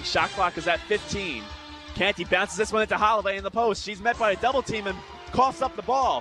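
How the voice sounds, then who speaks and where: Over music in the background, a man projects a raised voice at a high pitch and a fairly quick pace. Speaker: sports play-by-play broadcaster. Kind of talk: basketball play-by-play.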